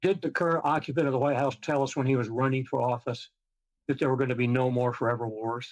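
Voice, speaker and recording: Over a quiet background, a man talks at a very fast pace with very even loudness. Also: medium pitch for a man. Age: 80s+. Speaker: navy veteran. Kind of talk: testimony. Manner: animated.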